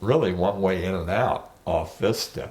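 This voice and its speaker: A man talks at a very slow pace. He speaks with a West Coast accent. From Martinez, California, US. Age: 70s. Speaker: oral history interviewee. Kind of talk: oral history interview. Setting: at home.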